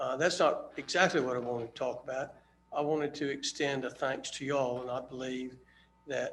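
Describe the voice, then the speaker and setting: Fairly quick speech with an American accent and monotone, flat intonation. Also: man, fairly high pitch for a man. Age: 60s. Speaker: public commenter. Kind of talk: public comment at town meeting. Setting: town board meeting. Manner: halting, many fillers.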